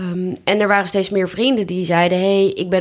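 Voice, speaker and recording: This woman has an unremarkable speaking voice, pitched in the medium range, moving at a moderate pace with fairly even intonation. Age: 30s. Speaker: job platform founder, freelancer. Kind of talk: casual interview chat. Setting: home living room turned studio.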